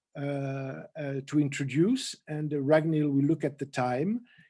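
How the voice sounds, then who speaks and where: A man with a slight French accent speaks in a dark, mellow tone. His pace is fairly slow. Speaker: storyteller and forum moderator. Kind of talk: online panel discussion moderation. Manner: halting, many fillers.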